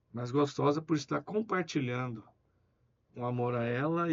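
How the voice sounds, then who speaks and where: A plain, everyday voice with ordinary pitch variation at a moderate pace. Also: man. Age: 60s. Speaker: businessman. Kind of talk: interview.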